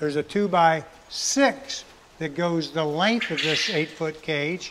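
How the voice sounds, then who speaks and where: Noticeable background noise runs beneath a man's voice. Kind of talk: tutorial. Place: farm machine.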